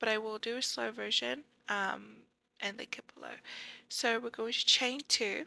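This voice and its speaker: At a moderate pace, a woman with a bright, sharp tone speaks with long, frequent pauses and big swings in loudness. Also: fairly high pitch for a woman, ordinary pitch variation. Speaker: crochet tutorial creator. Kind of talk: tutorial voiceover.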